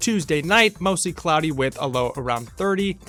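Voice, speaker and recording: With music in the background, a man with an American accent speaks at a moderate pace in a high pitch, his tone upbeat and his intonation lively. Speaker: college radio DJ. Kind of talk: late-night radio DJ show. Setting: radio studio. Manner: casual, upbeat.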